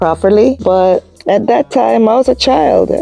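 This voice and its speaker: Music plays in the background as a woman with a Jamaican accent speaks at a fairly slow pace, the sound dry and close with no echo. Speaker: YouTuber. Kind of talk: personal storytelling. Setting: lying down at home. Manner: casual.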